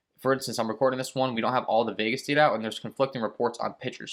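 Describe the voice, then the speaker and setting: Against a quiet background, a man speaks with monotone, flat intonation. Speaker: fantasy sports content creator. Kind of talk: casual chat to camera. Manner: fast; rambling. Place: home room.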